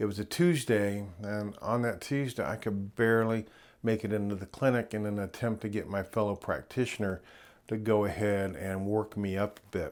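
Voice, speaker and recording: In a very clean recording with a silent background, a man speaks at a moderate pace. His voice is fairly low, with fairly even intonation. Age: 60s. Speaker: nurse practitioner and YouTuber. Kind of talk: personal video update.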